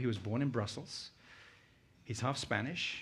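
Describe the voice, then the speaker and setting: The speaker has a British accent and ordinary pitch variation. The pace is fairly quick. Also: man. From UK. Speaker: conference speaker. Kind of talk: keynote talk.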